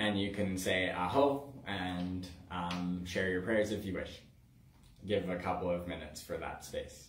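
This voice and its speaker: Somewhat breathy speech at a moderate pace, with fairly even intonation, carries audible room echo over light background noise. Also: man. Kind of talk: spiritual livestream talk. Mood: calm, warm, laughing. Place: home room. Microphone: camera far.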